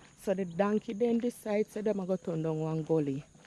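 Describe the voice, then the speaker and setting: A woman speaks with a Jamaican accent and lively intonation in a dark, mellow tone. The sound is dry and close, with no echo. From Jamaica, St. Andrew. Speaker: vlogger. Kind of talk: casual vlog monologue, Jamaican patois.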